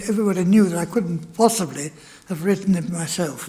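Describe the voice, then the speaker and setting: A high-pitched man in a German accent, fairly quick in pace and fairly even in intonation. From Germany. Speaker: Holocaust refugee speaker. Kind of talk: testimony. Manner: halting.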